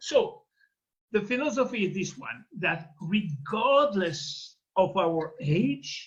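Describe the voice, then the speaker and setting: Lively intonation and big swings in loudness mark this very slow delivery, broken by long, frequent pauses. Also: man. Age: 70s. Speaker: doctor giving a product science talk. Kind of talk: interpreted presentation.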